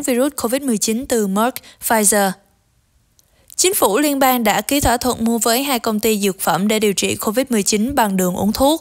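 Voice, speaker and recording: Using an ordinary speaking voice, a woman speaks at a fairly high pitch and a moderate pace, with ordinary pitch variation and very even loudness. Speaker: news editor and co-anchor. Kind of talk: news reading. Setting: studio. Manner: formal.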